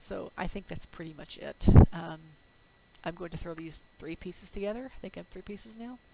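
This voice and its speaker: There is noticeable background noise as a woman talks with a fairly low pitch. She moves at a fairly quick pace with ordinary pitch variation. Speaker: artist and writer vlogger. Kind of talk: casual monthly update vlog. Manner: fast when excited.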